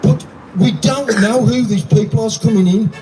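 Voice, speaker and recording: Over music in the background, a man speaks at a fairly slow pace in a high pitch with very wide pitch swings. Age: 70s. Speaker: protest speaker. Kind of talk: protest speech. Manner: animated.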